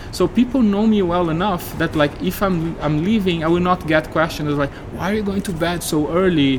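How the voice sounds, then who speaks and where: Hardly pausing, a man with a Portuguese accent speaks at a moderate pace in a high pitch with ordinary pitch variation, over noticeable background noise. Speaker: game industry professional. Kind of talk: interview. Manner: hesitant with many fillers.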